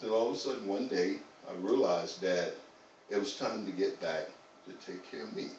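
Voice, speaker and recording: A man with an American accent, long and frequent pauses, and audible echo in the room. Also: fairly quick pace. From US South, North Carolina. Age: 60s. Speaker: fitness trainer. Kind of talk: interview. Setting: live stream.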